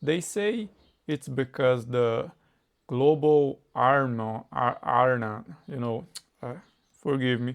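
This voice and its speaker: Very slow speech in a Brazilian Portuguese accent, with ordinary pitch variation and long, frequent pauses. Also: man, medium pitch for a man. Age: 20s. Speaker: English learner. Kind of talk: casual conversation practice. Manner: halting, searching for words.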